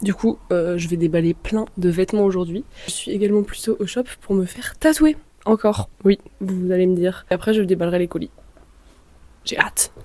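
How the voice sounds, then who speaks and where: A woman speaks at a medium pitch and a moderate pace, with ordinary pitch variation. Her speech has long, frequent pauses. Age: 20s. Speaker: vlogger and thrift shop owner. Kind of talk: casual vlog narration. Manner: animated.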